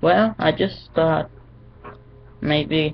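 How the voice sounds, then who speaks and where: A put-on character voice at a middle pitch. The words come out mumbled. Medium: read story. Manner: hesitant, mumbling.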